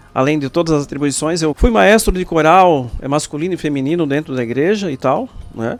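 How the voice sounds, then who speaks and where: Fairly high pitch from a man with lively intonation at a moderate pace, over background music. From southern Brazil, Joinville. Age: 40s. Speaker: politician, mayoral pre-candidate. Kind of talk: interview.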